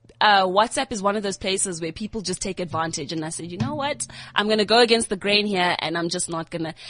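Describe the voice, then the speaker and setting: A woman talks at a very fast pace. Her medium-pitched voice has lively intonation. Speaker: youth TV presenter. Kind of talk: casual chat. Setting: studio. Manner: loud; excitable.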